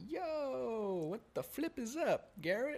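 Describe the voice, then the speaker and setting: In a put-on character voice, the speaker uses a high pitch and a very slow pace. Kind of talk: casual slang, streetwise.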